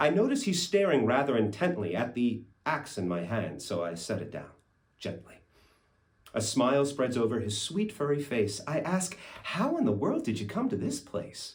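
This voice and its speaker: Very wide pitch swings and vocal fry at a moderate pace. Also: man, medium pitch for a man. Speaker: actor. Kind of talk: poetry reading. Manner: storytelling, expressive.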